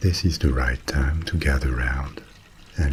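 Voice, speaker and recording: A man speaks in a very deep, low voice with a calm tone. Background noise is noticeable. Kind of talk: bedtime ASMR story narration. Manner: calm, soft, slow.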